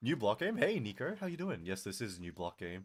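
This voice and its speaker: Heard in a very clean recording with a silent background, a man speaks at a moderate pace with vocal fry and very wide pitch swings. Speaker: vtuber streamer. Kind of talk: live gaming stream chat. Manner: exaggerated streamer voice; casual.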